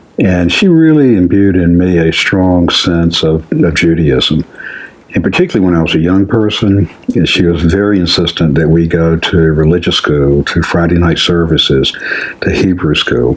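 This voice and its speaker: A man with an Alabama accent, very deep and low in pitch, at a moderate pace with very even loudness and fairly even intonation, over noticeable background noise. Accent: Southern US (Alabama). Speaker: community founder. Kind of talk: interview.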